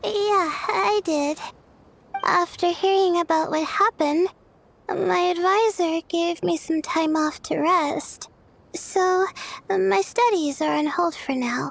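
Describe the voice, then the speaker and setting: In a put-on character voice of extremely high pitch, the speech moves at a fairly slow pace. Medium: video game.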